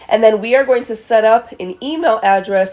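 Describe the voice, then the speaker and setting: Against noticeable background noise, a woman talks at a fairly high pitch with ordinary pitch variation. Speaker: vlogger and advice co-host. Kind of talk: casual advice chat.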